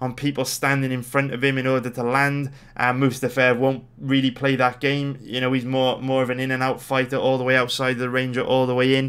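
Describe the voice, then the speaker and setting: Here a man speaks with a Welsh accent. His pitch is medium and his pace fairly quick. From Wales. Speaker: sports betting analyst. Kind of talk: casual video commentary. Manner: casual, energetic.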